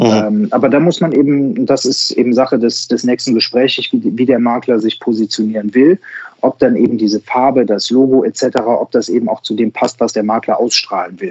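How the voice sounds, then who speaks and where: The sound is dry and close with no echo as a man speaks at a medium pitch with ordinary pitch variation. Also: moderate pace. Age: 40s. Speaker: insurance broker and digital sales coach. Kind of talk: interview. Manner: hesitant, many filler sounds.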